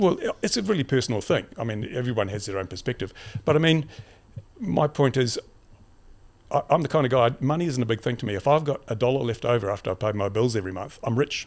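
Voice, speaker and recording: With an Australian accent, a man talks at a very fast pace with lively intonation, in a very clean recording with a silent background. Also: medium pitch for a man. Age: 70s. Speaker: YouTuber and community advocate. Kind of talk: casual interview. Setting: podcast couch. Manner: halting.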